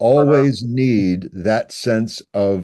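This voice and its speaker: Against a quiet background, a man with a medium pitch and a dark, mellow tone speaks with ordinary pitch variation. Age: 70s. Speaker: panel participant, father. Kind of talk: online panel discussion.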